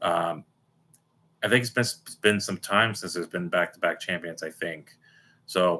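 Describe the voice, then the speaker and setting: At a moderate pace and with fairly even intonation, the bright, sharp voice comes through on a very clean recording with a silent background. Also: man. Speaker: sports fan streamer. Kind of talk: casual live stream reaction. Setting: live stream. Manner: halting, repetitive.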